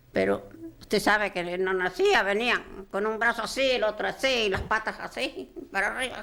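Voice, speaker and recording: A woman speaks at a fairly high pitch. There is noticeable background noise. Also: ordinary pitch variation, moderate pace. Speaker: grandmother recounting childbirth. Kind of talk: interview answer.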